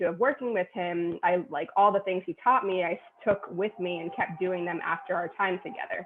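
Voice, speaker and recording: Noticeable background noise sits behind a woman with an American accent. She talks at a fairly quick pace with medium pitch and ordinary pitch variation. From New York City, Queens. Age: 30s. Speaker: personal trainer. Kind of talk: interview.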